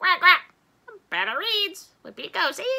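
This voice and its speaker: A woman puts on a character voice, squeaky and extremely high-pitched. She delivers it at a moderate pace. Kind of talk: bedtime story voice. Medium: read story. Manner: punctuates speech with quacking.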